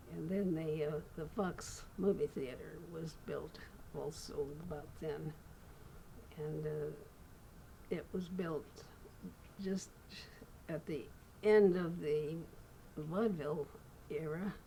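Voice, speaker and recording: With an American accent, a woman speaks at a very slow pace in a very deep, low pitch, her dark, mellow tone somewhat breathy, her intonation fairly even and her pauses long and frequent. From Redlands, California, USA. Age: 80s+. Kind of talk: interview answer.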